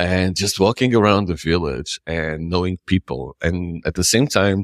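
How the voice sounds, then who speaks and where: A man speaks in a Portuguese accent with a very deep, low pitch. The sound is dry and close, with no echo. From Portugal, Lisbon. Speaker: nomad community founder. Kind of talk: interview. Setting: remote call.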